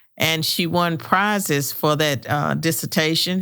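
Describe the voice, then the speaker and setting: In a very clean recording with a silent background, a woman with a Southern US accent talks at a moderate pace and a very deep, low pitch. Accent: Southern American. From US South, rural southwestern Virginia. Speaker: retired professor and author. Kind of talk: podcast interview. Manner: hesitant, many fillers.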